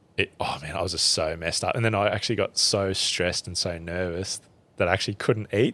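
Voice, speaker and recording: A man with a strong Australian accent talks very fast in a very deep, low voice with a bright, sharp tone and fairly even intonation. The recording is very clean, with a silent background. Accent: broad Australian. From central Queensland, Australia. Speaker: bushman and survivalist. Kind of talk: casual chat. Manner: halting.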